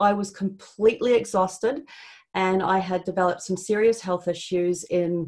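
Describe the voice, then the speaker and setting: A woman speaks at a medium pitch and moderate pace with ordinary pitch variation. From Canada. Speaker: network marketing consultant. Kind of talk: webinar presentation.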